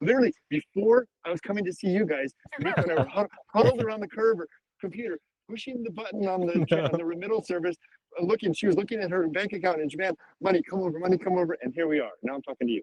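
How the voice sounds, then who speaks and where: Dry and close with no echo, a man with an American accent speaks at a high pitch and a very fast pace in an animated tone. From California. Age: 60s. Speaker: retiree buying a house abroad. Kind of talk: podcast interview. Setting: video call from outdoor park.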